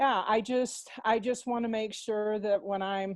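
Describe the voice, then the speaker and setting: Someone with an American accent speaks at a fairly slow pace in a plain, everyday voice. The intonation stays fairly even over a quiet background. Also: woman. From Texas. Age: 60s. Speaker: workshop participant. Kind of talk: casual group call sharing.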